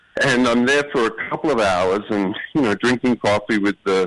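Here a man with an Australian accent talks at a fairly quick pace. His pitch is fairly low, and the sound is dry and close with no echo. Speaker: actor. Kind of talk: phone conversation.

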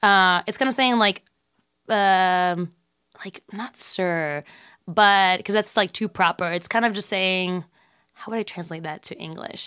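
In a very clean, dry, close recording with no echo and a silent background, a woman speaks at a fairly slow pace in a medium pitch, her bright, sharp tone showing ordinary pitch variation and big swings in loudness. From Puerto Rico. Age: 20s. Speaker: drag king performer and actor. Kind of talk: interview. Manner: halting, many fillers.

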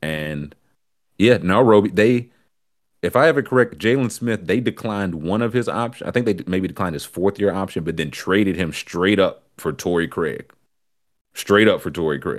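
With lively intonation and a fairly low pitch, a man talks at a moderate pace in a very clean recording over a silent background. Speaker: podcast host. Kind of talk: casual livestream chat about sports and weather. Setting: live stream with chat. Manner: easygoing, chatty.

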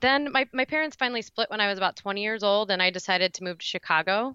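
There's lively intonation in this woman's speech. She has an American accent. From Indiana. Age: 20s. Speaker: acupuncturist and recovery guest. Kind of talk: personal testimony interview.

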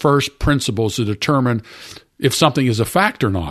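Over a quiet background, a man with an American accent speaks at a moderate pace. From US, Pittsburgh area. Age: 70s. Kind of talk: casual interview. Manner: halting.

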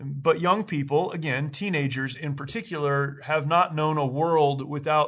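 An ordinary speaking voice with ordinary pitch variation, a moderate pace and a quiet background. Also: man. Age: 40s. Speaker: podcast host. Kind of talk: solo commentary monologue.

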